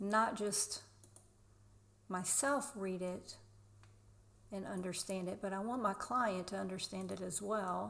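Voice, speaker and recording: In a Southern US accent, a woman talks at a very slow pace with fairly even intonation and long, frequent pauses. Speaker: real estate agent. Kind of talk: screen-share tutorial.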